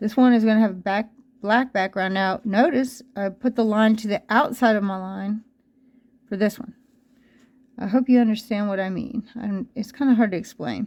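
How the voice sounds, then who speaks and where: A woman's fairly high voice at a moderate pace, with fairly even intonation, a normal speaking voice. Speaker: art teacher. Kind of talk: tutorial. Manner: casual, conversational with fillers.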